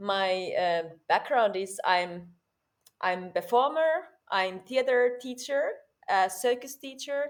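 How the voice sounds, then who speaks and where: A woman with a Finnish accent, high pitch and lively intonation at a very slow pace, in a very clean recording with a silent background. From Finland. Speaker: performer and theater teacher. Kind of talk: interview. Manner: halting.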